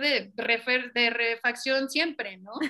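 A woman speaks at a very slow pace in a raised, projected voice, her high pitch carrying a bright, sharp tone. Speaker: racing driver and team manager. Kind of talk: casual interview chat.

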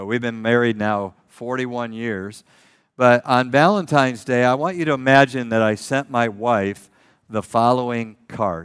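A man with an American accent and a plain, everyday voice, medium pitch, ordinary pitch variation, a fairly slow pace, and a very clean recording with a silent background. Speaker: pastor. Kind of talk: sermon.

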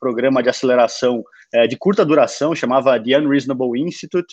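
An unremarkable speaking voice from a man, fairly high in pitch with ordinary pitch variation, comes through with a dry, close sound and no echo. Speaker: startup founder. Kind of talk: interview.

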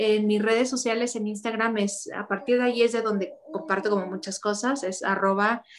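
A woman's fairly high-pitched, an unremarkable speaking voice with fairly even intonation. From Mexico, Ciudad Juárez. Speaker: actress and model. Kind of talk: casual interview.

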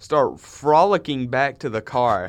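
This is a man speaking. He has an American accent. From Minnesota. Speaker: podcast co-host, college student. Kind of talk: casual chat. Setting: studio. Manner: animated.

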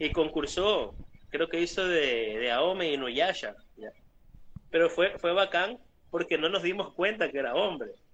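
Pausing long and often, a man talks in a high pitch with ordinary pitch variation. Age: 30s. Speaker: prop maker. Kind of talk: casual interview chat.

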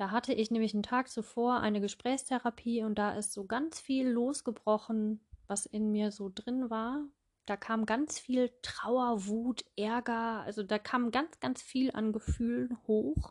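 Over a quiet background, a woman with a fairly high pitch speaks at a fairly slow pace with fairly even intonation, the sound dry and close with no echo. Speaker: podcast host, mindfulness coach. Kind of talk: personal monologue. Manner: hesitant fillers.

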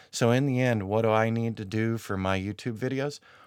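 A man's medium-pitched, normal speaking voice at a moderate pace, dry and close with no echo. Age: 40s. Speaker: podcast host and YouTuber. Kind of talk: solo podcast monologue. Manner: casual, with frequent fillers.

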